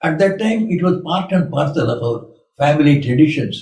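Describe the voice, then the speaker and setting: A somewhat breathy man with a fairly high pitch and a dark, mellow tone speaks at a moderate pace, with audible room echo. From India. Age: 80s+. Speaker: monk. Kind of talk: spiritual talk.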